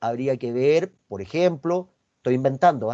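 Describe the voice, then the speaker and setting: With a Chilean accent, a man speaks in a fairly high pitch with a dark, mellow tone and lively intonation. The sound is dry and close, with no echo. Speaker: university finance professor. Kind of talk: online lecture. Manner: fast.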